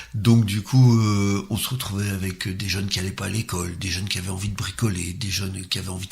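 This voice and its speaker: A man with a fairly low voice talks at a fairly quick pace. His intonation stays fairly even, and there is noticeable background noise. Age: 60s. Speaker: former social worker, cycling enthusiast. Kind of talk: interview.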